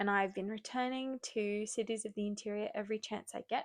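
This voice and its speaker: In an Australian accent, a woman speaks in an enthusiastic tone, with a dry, close sound and no echo. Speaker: book reviewer. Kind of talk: casual book review monologue. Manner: enthusiastic, rambling with self-corrections.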